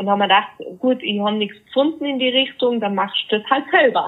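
A woman speaks with fairly even intonation. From Austria, Tyrol (Innsbruck). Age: 30s. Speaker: fitness coach for grieving people. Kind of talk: interview.

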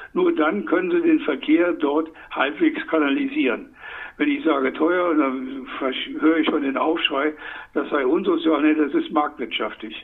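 A man's speech comes through with noticeable background noise. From Saarland, Germany. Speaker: economist. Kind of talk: interview. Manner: animated.

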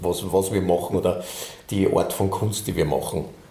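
A man's fairly low-pitched voice at a moderate pace, with audible room echo and noticeable background noise. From Austria. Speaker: bandleader and musician. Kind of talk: casual interview chat. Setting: recording studio.

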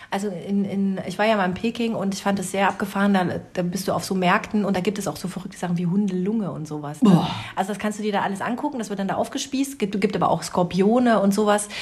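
There is noticeable background noise as a woman speaks at a very fast pace. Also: medium pitch for a woman, ordinary pitch variation. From rural Germany. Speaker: podcast co-host. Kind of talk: casual chat.

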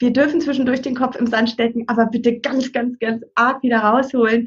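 A woman speaks in a high-pitched voice. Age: 40s. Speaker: parenting counselor. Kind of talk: casual interview chat. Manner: warm, encouraging.

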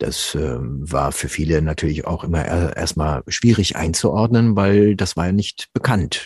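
Very deep and low in pitch, a man speaks with vocal fry and ordinary pitch variation in a dry, close sound with no echo. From South American parents, grew up in Germany. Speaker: voice actor and voice coach. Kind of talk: interview conversation about voice work. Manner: humorous, laughs often.

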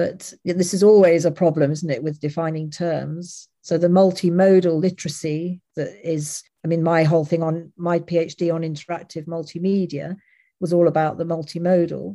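A woman speaks in an English accent with monotone, flat intonation. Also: fairly low pitch for a woman, moderate pace. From England, Leicester. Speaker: academic researcher in interactive documentary. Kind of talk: lecture. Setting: online lecture with audience.

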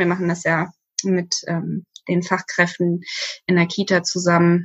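A woman at a fairly low pitch and fairly slow pace. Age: 30s. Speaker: social worker. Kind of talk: casual interview.

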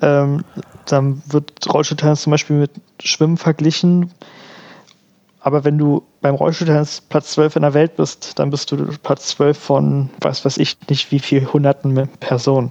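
This man's voice is fairly high in pitch with a dark, mellow tone, delivered in a monotone, flat way over a dry, close sound with no echo. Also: fairly slow pace, very even loudness. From Berlin. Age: 20s. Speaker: wheelchair tennis player and student. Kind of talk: casual interview. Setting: remote call.

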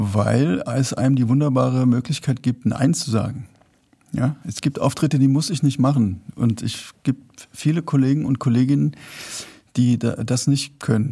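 The voice has a dark, mellow tone, somewhat breathy, moving at a fairly slow pace with ordinary pitch variation. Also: man, medium pitch for a man. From Rheinhessen, Germany. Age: 40s. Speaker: singer-songwriter and author. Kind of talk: casual chat. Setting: theater with live audience.

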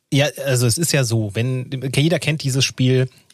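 In a dry, close sound with no echo, a man with a plain, everyday voice speaks at a medium pitch and moderate pace, with ordinary pitch variation. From Hesse, Offenbach district. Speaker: podcast co-host. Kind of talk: casual chat.

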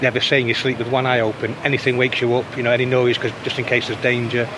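Noticeable background noise runs under a man talking at a very fast pace. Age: 50s. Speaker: formerly homeless church sexton. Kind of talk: interview. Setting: outdoors.

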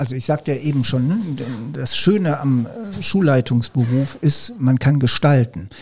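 A man with lively intonation and a somewhat breathy sound talks at a fairly slow pace. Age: 50s. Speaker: school principal. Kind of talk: casual chat.

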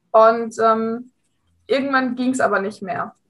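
A woman's voice, fairly high in pitch. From Hesse, near Frankfurt. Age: 20s. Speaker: amateur rider, coaching client. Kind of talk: interview testimony.

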